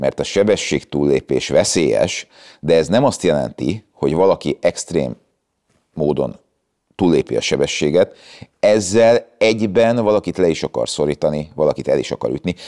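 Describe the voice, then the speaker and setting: A man is speaking at a moderate pace. Little else can be heard behind him. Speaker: traffic lawyer. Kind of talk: interview. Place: garage. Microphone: lapel.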